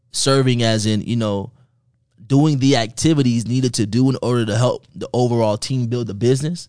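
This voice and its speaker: Against a quiet background, a man with a plain, everyday voice talks at a fairly quick pace in a medium pitch. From Miami, Florida. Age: 20s. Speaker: network and affiliate marketer. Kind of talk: casual interview.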